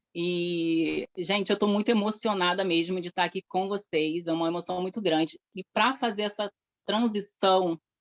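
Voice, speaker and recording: A woman with a fairly low pitch talks with fairly even intonation over background music, her voice dry and close with no echo. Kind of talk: testimony at event.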